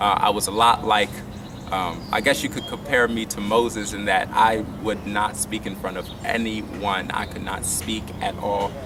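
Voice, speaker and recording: Flat, monotone intonation comes through audible room echo with music in the background. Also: man. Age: young. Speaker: violinist and incoming college student. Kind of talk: interview. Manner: hesitant with many fillers.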